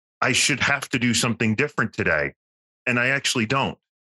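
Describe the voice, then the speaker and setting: A man speaks in an ordinary speaking voice at a medium pitch, with fairly even intonation and a dry, close sound with no echo. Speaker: podcast host, consultant. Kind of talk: casual interview.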